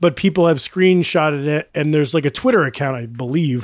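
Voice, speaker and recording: Someone speaks in a normal speaking voice at a fairly quick pace. The recording is very clean and dry, with a silent background and close sound with no echo. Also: man. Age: 30s. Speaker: music podcast co-host. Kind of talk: casual chat.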